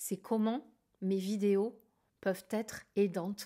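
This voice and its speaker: A woman's medium pitch and dark, mellow tone at a very slow pace, in a very clean recording with a silent background. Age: 60s. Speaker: tarot and akashic reading youtuber and trainer. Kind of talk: casual vlog Q&A monologue. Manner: hesitant, many fillers and repetitions.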